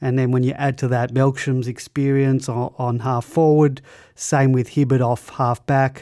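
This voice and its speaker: Recorded very cleanly against a silent background, a man with an Australian accent speaks fairly slowly at a medium pitch in a dark, mellow tone with monotone, flat intonation. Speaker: podcast host. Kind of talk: casual chat.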